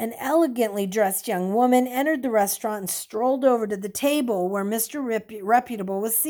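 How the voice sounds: With ordinary pitch variation, someone reads in a natural voice.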